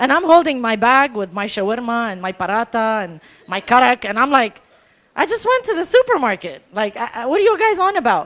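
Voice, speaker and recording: A high-pitched woman's voice, animated in tone, at a fairly quick pace with very wide pitch swings and big swings in loudness. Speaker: storyteller. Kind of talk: storytelling performance.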